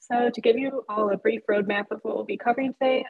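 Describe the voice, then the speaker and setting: Against a quiet background, a woman talks at a fairly quick pace. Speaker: presenter. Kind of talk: lecture. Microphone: webcam.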